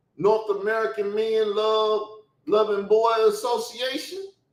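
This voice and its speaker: A man talks in an animated tone at a high pitch, with ordinary pitch variation. He speaks at a fairly slow pace amid audible room echo. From Chicago South Side. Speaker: YouTube channel host, religious commentator. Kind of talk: heated rant.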